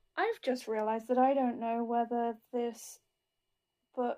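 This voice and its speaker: In a very clean recording with a silent background, a woman speaks at a high pitch with a British accent. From UK. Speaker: crafter. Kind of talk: tutorial.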